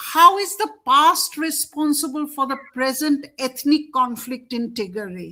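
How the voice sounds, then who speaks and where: The voice is raised and projected, with a Bengali accent. It moves at a fairly slow pace with ordinary pitch variation. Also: woman. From India. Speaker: show host. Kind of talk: interview discussion.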